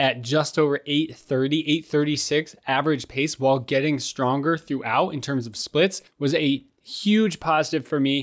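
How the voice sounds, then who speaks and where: Against a quiet background, a man talks at a fairly slow pace with fairly even intonation. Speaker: running vlogger. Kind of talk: casual vlog recap. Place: home room. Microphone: studio mic.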